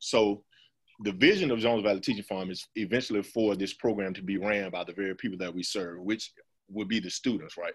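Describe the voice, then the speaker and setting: Here a man speaks at a fairly quick pace. His pitch is fairly low and his intonation fairly even. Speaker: school farm program manager. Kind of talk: webinar presentation. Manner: fast.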